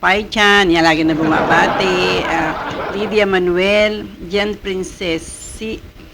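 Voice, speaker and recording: Noticeable background noise fills the recording. Over it, a woman speaks very slowly. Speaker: vlogger reacting to showbiz news. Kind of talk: casual vlog chat. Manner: halting, many fillers.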